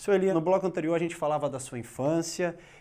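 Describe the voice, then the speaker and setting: This man's voice is high-pitched, with a dark, mellow tone. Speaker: TV interviewer. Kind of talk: interview. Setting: studio. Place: studio. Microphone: lapel.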